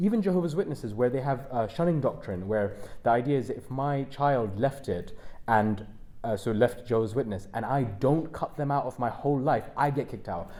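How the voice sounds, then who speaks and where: A man talks at a fairly quick pace with a London accent and a dark, mellow tone. Audible room echo surrounds his voice. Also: medium pitch for a man, lively intonation. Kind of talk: panel discussion. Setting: stage with audience at a university. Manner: halting.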